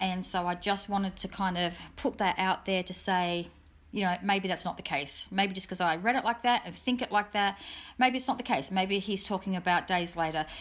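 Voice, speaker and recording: A woman speaks with an Australian accent at a medium pitch, with ordinary pitch variation. The recording is very clean, the background silent. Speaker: true crime youtuber. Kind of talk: casual monologue update. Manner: fast.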